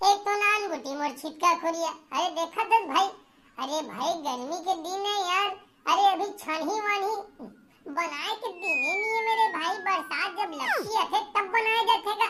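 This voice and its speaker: In a cartoonish character voice, the squeaky, extremely high-pitched speaker talks at a moderate pace. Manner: grumbling, complaining.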